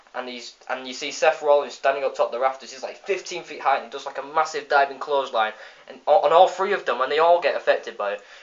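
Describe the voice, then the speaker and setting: With an English accent, a man speaks at a very fast pace with hardly any pauses, his pitch fairly high with ordinary variation. His loudness swings widely. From England. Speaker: wrestling video reviewer. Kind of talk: casual review vlog. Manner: animated.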